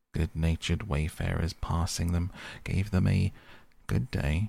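A man's very deep, low, somewhat breathy voice with a calm, soothing tone, fairly even intonation and a fairly slow pace. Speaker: audiobook narrator. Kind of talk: literary audiobook reading, bedtime story. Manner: soft, calm, soothing, unhurried.

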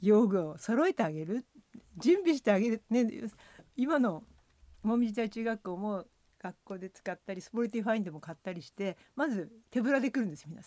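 A woman talks at a fairly quick pace, her fairly high voice dark and mellow in tone, with lively intonation. Her loudness swings widely, and the sound is dry and close with no echo. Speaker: former cross-country skier and ski coach. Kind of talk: radio interview.

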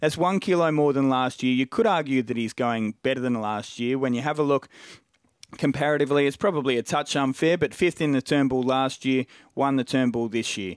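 A man with an Australian accent talks at a fairly quick pace and medium pitch, with ordinary variation, in a dry, close sound with no echo on a very clean recording with a silent background. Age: 40s. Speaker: racing analyst. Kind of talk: casual chat.

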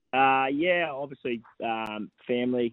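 With an Australian accent, a man is talking. His voice sits at a medium pitch. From Gold Coast, Queensland, Australia. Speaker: racehorse trainer. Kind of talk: radio interview. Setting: phone call.

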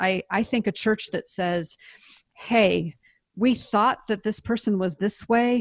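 A woman talks at a fairly slow pace with an American accent and ordinary pitch variation. The sound is dry and close with no echo, against a quiet background. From US Pacific Northwest, Seattle. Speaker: author and speaker. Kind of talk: interview testimony.

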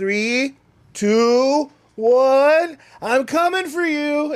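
In a squeaky, high-pitched put-on character voice, the speaker goes at a very slow pace. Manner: playful, teasing countdown.

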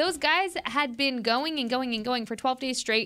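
A woman speaks in a raised, projected voice, her high pitch carrying a bright, sharp tone. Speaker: podcast co-host. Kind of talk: casual sports talk.

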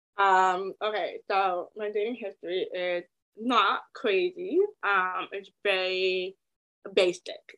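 In a dry, close sound with no echo, a woman speaks very slowly in a bright, sharp tone with monotone, flat intonation. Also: medium pitch for a woman. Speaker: entrepreneur and author. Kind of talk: casual interview chat.

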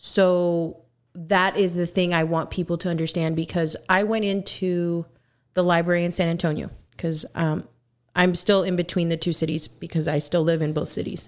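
A woman with a fairly low pitch speaks at a moderate pace. The recording is very clean, with a silent background. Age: 20s. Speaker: musician and author. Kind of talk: casual chat. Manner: animated, joking.

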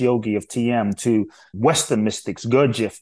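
A man with a dark, mellow tone speaks at a medium pitch against a quiet background. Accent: London. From London. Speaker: inspirational speaker. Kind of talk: interview.

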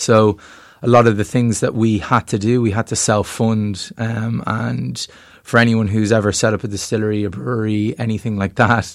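A man with a Dublin accent speaks at a fairly low pitch. His intonation is fairly even, and the recording is very clean with a silent background. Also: moderate pace. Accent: Dublin Irish. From Ireland, Dublin. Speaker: whiskey distillery co-owner. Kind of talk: interview.

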